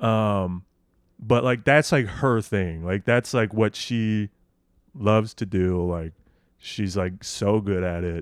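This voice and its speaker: Very clean and silent in the background, the recording has a dry, close sound with no echo. A man with a Midwestern American accent speaks very slowly in a fairly low pitch with ordinary pitch variation. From Nebraska, Lincoln. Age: 20s. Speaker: stand-up comedian. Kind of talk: casual chat.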